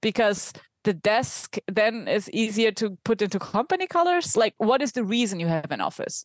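The speech comes at a moderate pace with a German accent and very wide pitch swings. The sound is dry and close, with no echo. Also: woman, fairly high pitch for a woman. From Germany. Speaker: remote work consultant and product leader. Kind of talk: interview conversation.

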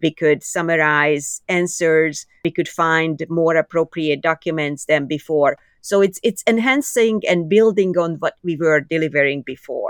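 Speaking with hardly any pauses, a woman with a Hungarian accent sounds dry and close with no echo, over a quiet background. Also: fairly low pitch for a woman, ordinary pitch variation. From Hungary, Budapest. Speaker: AI engineer. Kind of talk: interview.

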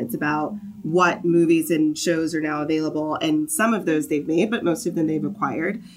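With an American accent, the voice moves at a fairly quick pace with ordinary pitch variation over noticeable background noise. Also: woman. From US South, Augusta, Georgia. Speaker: marketing and production manager at a software company. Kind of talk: casual interview.

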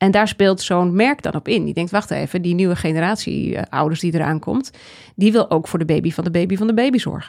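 A woman with an unremarkable speaking voice talks at a fairly quick pace. Her pitch is fairly low, with ordinary pitch variation. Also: very clean recording, silent background. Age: 40s. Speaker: trend researcher and author. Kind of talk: interview conversation.

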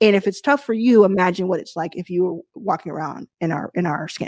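In an American accent, a woman with a plain, everyday voice speaks at a moderate pace and medium pitch, her intonation lively, the sound dry and close with no echo over a quiet background. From Texas (Dallas). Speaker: venture capital investor and founder. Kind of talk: interview at a virtual event. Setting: virtual event, video call.

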